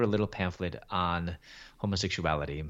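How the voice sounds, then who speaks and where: A man talks with a Midwestern American accent. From Chicago, US Midwest. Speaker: Bible teacher and author. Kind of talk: testimony.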